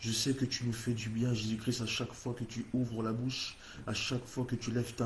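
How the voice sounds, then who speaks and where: A man with a medium pitch talks at a moderate pace in a somewhat breathy voice. His intonation is monotone and flat. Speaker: prayer meeting leader. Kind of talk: spoken prayer. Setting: online livestream. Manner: fervent, repetitive invocations.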